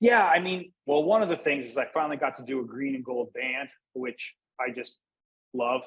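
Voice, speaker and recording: This man talks at a moderate pace with a fairly high pitch and lively intonation. His is an unremarkable speaking voice. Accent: American. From US Northeast, Pennsylvania. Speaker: cigar brand manager. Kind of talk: casual interview chat.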